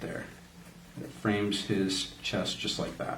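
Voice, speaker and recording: A man's fairly low, somewhat breathy voice at a fairly slow pace, with audible room echo. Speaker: art tutorial presenter, creative director. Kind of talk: drawing tutorial. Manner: casual, friendly, addressing kids.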